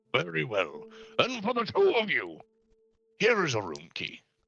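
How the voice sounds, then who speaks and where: A man puts on a character voice. He keeps a moderate pace. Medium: actual play. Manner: formal, archaic, grandiose.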